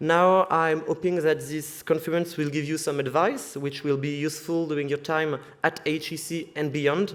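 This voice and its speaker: Speaking with a French accent, a man delivers his words in a fairly high, flat monotone with hardly any pauses. The recording is very clean, with a silent background. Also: moderate pace. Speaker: student society member. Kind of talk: welcome speech. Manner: halting.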